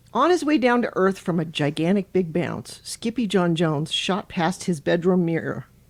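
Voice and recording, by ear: The speaker reads aloud in a natural voice, and the intonation stays lively.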